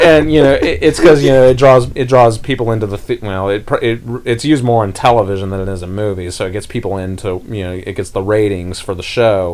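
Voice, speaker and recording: A man with a slight Southern US accent, fairly low pitch, ordinary pitch variation, a very fast pace and hardly any pauses. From US South. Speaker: podcast host. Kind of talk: casual chat.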